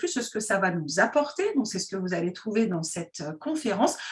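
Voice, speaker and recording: Her pitch moves up and down very widely. The woman's voice is somewhat breathy. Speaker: interviewer. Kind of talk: interview questions.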